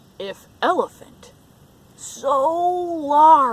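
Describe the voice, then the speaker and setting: A woman performs in a put-on character voice. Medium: read story. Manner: grumbling, dramatic.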